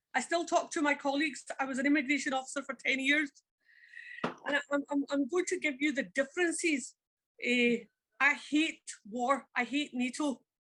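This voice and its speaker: With a Glaswegian accent, a woman speaks at a moderate pace. Her voice is high, and her intonation stays fairly even. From Scotland, Glasgow. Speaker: former immigration officer. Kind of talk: audience discussion. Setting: public event with audience. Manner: halting.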